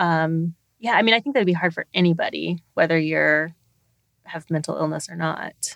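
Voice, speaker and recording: Dry and close with no echo, a woman's ordinary speaking voice comes with an American accent, fairly low pitch, ordinary pitch variation and a moderate pace. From Texas. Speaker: podcast co-host. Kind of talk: casual chat.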